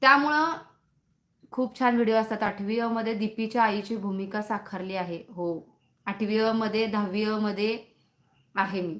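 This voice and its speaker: The woman speaks with a fairly high pitch. Her intonation stays fairly even. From Sangli, Maharashtra. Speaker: content creator live-streaming. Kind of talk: casual live-stream chat with viewers. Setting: live stream. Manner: chatty, talkative.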